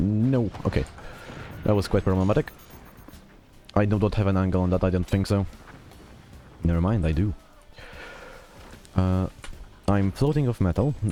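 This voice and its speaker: Against music in the background, a man with a fairly low pitch talks at a moderate pace with lively intonation, very even loudness and long, frequent pauses. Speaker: gaming YouTuber. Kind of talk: gameplay commentary. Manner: hesitant fillers, uh and um.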